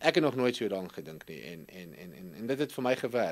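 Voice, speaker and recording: Intonation is lively as a man speaks. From South Africa, Nelspruit; South Africa. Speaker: investment executive. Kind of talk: interview. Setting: studio. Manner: halting. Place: studio. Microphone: studio mic.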